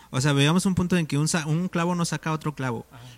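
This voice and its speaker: Very fast speech with fairly even intonation, in a very clean recording with a silent background and a dry, close sound with no echo. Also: man. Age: 20s. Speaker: church volunteer. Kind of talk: casual chat.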